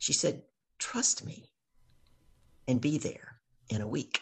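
A somewhat breathy voice with a Southern US accent. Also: woman. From US South, Louisiana. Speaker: business coach. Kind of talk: casual chat. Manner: animated.

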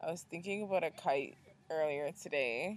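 Here is a woman with an unremarkable speaking voice, pitched fairly low. Her pace is moderate and her pitch varies in an ordinary way. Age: 30s. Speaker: podcast host. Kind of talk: casual chat.

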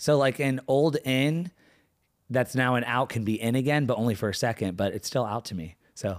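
Recorded very cleanly against a silent background, a man talks at a moderate pace. His medium pitch shows ordinary variation. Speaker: podcast co-host. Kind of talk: casual chat. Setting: co-host's living room. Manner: relaxed.

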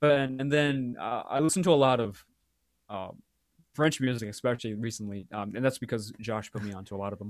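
A man with an American accent, medium-pitched, at a fairly quick pace, with ordinary pitch variation and big swings in loudness. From US West Coast (Walnut Creek, California). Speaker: student, music club member. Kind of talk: casual chat.

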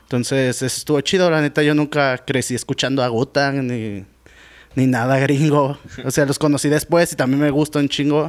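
Delivered at a moderate pace, this is a normal speaking voice with fairly even intonation. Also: man, fairly high pitch for a man. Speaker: rapper and beatmaker. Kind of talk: casual chat.

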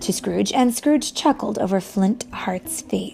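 This is natural-voiced reading aloud. Its intonation is lively.

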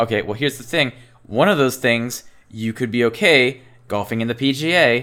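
A man with a normal speaking voice talks at a moderate pace. His pitch sits in the medium range with ordinary variation. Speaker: podcast co-host. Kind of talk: casual banter. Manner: casual, joking.

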